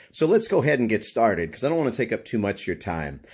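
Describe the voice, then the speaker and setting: Behind a man's speech, the background is quiet. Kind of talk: tutorial. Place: kitchen.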